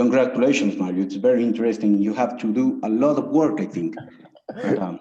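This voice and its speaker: A man of medium pitch speaks at a fairly quick pace, with audible room echo around him. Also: ordinary pitch variation. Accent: Spanish. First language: Spanish. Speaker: thesis jury member, researcher. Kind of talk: academic Q&A. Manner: halting.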